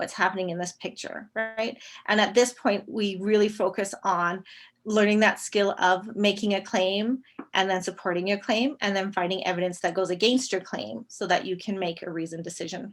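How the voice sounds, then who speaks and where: A woman's medium-pitched voice on a very clean recording with a silent background. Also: fairly even intonation. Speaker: elementary teacher presenting at a teachers' conference. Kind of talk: conference presentation. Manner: fast.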